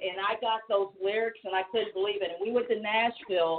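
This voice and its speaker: Fairly quick and with fairly even intonation, this is an unremarkable speaking voice. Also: woman. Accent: American. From US Midwest, Missouri. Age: 50s. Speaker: singer. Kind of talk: casual chat.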